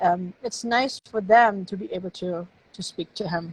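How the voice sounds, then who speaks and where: A somewhat breathy woman's voice with a German accent, medium pitch and ordinary pitch variation, in a dry, close sound with no echo. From Germany. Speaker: novelist. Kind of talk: casual interview. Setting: live stream.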